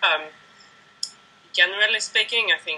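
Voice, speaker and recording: A woman with a Swedish accent at a moderate pace, over noticeable background noise. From Sweden. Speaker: ultramarathon runner, running coach. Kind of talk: interview answer. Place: home room. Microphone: video call.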